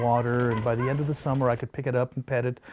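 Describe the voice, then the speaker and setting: A man of medium pitch delivers monotone, flat intonation while noticeable background noise carries on. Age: 60s. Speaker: wildlife rescuer and falconer. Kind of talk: interview answer.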